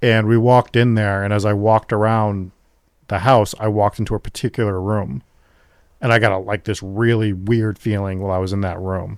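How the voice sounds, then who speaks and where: An ordinary speaking voice from a man, fairly low in pitch with fairly even intonation, dry and close with no echo, on a very clean recording with a silent background. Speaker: paranormal investigator, podcast host. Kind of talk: casual interview answer.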